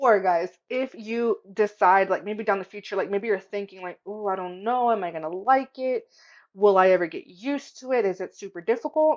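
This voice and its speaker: Against a quiet background, a woman talks in an animated tone at a moderate pace, her medium pitch showing ordinary variation and her loudness swinging widely. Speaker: craft tutorial youtuber. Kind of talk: tutorial. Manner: casual, animated. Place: home room. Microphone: webcam.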